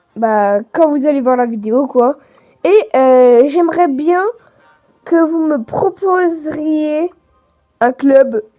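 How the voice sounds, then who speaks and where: Over music in the background, a woman speaks with lively intonation and long, frequent pauses. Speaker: gaming youtuber. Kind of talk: casual gaming commentary. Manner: halting, many hesitations; improvised. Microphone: phone recording, poor sound.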